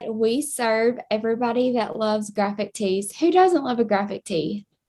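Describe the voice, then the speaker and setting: Lively intonation marks this woman's high-pitched voice. She has a strong Southern US accent. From Kentucky, US. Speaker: t-shirt subscription business co-owner. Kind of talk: podcast conversation.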